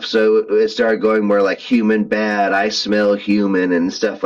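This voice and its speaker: A man's put-on character voice at a moderate pace. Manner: menacing, growly.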